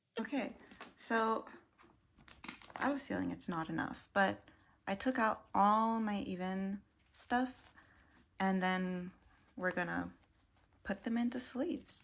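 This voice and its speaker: At a fairly slow pace, a woman speaks in a somewhat breathy voice of medium pitch with ordinary pitch variation. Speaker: kpop collector vlogger. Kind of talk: casual chat. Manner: casual, filler-heavy.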